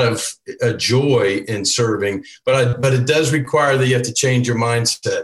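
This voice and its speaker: A somewhat breathy man speaks at a moderate pace and medium pitch with fairly even intonation. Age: 60s. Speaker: church elder panelist. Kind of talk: casual panel discussion.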